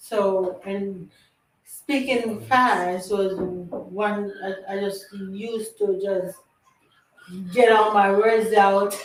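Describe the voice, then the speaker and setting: A woman speaks at a medium pitch. Room echo can be heard clearly. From Jamaica. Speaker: livestream talk show host. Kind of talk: casual chat.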